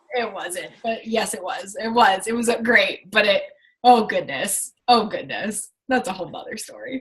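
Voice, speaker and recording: With an ordinary speaking voice, a woman talks at a moderate pace in a fairly high pitch, showing ordinary pitch variation and big swings in loudness. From Washington State, US Pacific Northwest. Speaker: fitness coach. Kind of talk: casual chat.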